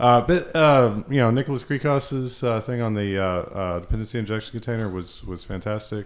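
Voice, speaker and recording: In an unremarkable speaking voice, this speaker goes at a fairly quick pace with hardly any pauses and ordinary pitch variation. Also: man, medium pitch for a man. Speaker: podcast host.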